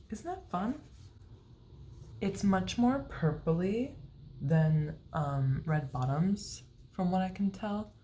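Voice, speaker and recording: A woman's quiet, somewhat breathy voice, dark and mellow, with lively intonation at a very slow pace and long, frequent pauses. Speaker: beauty vlogger. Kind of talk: casual vlog update.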